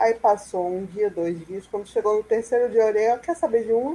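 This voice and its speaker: This woman has a fairly high pitch and a dark, mellow tone. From Salvador, Bahia, Brazil. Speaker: free software user and advocate. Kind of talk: online panel discussion.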